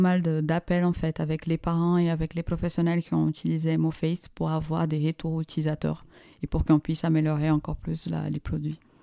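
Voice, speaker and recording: With a Portuguese accent, a woman talks at a fairly quick pace in a very deep, low pitch and a flat monotone. Her tone is dark and mellow, the recording very clean with a silent background and a dry, close sound free of echo. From Brazil. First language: Portuguese (speaking French). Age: 30s. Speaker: startup co-founder. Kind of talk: interview.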